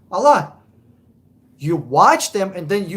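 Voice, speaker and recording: Speaking with a Russian accent, a man uses a high pitch and an animated tone at a fairly slow pace. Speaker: car buying advisor. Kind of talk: live stream chat with viewers. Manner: casual, animated.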